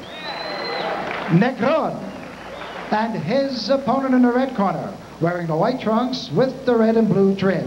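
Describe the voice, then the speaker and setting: Against crowd noise in the background, a man with an extremely high pitch talks at a fairly slow pace with ordinary pitch variation. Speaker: ring announcer. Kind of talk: ring announcement. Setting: PA system in arena. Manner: formal. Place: hall.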